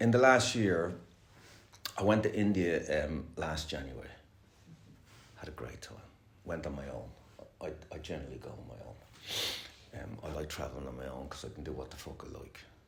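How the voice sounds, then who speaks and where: With an Irish accent and audible room echo, a man with a very deep, low pitch and vocal fry swings very widely in pitch, shifts loudness in big swings and takes long, frequent pauses. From Ireland. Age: 60s. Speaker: recovering addict sharing at a meeting. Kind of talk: recovery meeting share. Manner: fast; casual, swearing, hesitant fillers.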